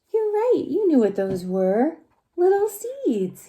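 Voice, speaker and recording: A gentle, squeaky put-on character voice at an extremely high pitch, delivered at a fairly slow pace. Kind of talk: bedtime story. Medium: read story.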